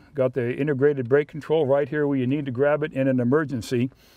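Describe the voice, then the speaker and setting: Over a quiet background, a man's voice carries a dark, mellow tone. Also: dry sound with no echo. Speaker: vehicle reviewer. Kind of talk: product review commentary.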